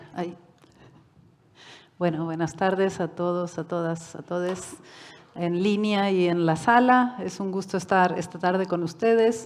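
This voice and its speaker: Pausing long and often, a woman talks at a fairly slow pace with a fairly low pitch and fairly even intonation, with audible room echo. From Uruguay and Mexico. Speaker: UN human rights expert. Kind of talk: lecture. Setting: conference hall with online audience.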